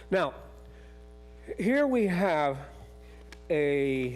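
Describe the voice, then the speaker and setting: There is music in the background as a man speaks. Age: 80s+. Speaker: public commenter at county meeting. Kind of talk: public comment. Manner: halting.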